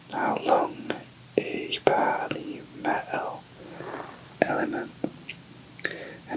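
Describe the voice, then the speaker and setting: Whispering at a very slow pace, a man can be heard through noticeable background noise. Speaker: massage therapist. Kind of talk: ASMR massage explanation. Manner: whispered, soft-spoken.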